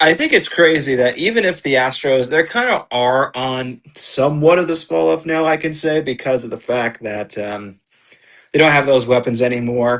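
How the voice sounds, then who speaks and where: A man talks with lively intonation at a moderate pace. His pitch sits in the medium range. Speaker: podcast co-host. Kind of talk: casual chat. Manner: animated; loud.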